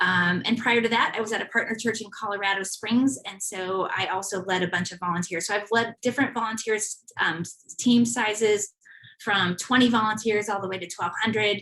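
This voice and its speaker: With an American accent and an ordinary speaking voice, a woman talks at a fairly quick pace with hardly any pauses, her pitch fairly high and her intonation fairly even. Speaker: church volunteer ministry leader. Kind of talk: presentation.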